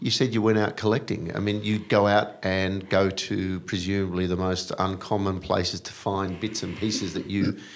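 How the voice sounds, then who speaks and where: A man talks with an Australian accent and hardly any pauses. His fairly low pitch stays in a monotone, flat intonation. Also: moderate pace. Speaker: podcast host. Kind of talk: casual chat. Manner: playful.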